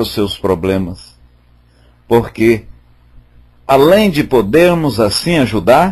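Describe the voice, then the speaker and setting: Very wide pitch swings mark a man's somewhat breathy speech. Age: 60s. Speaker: spiritist study group leader. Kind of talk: religious study talk. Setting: online voice chat room.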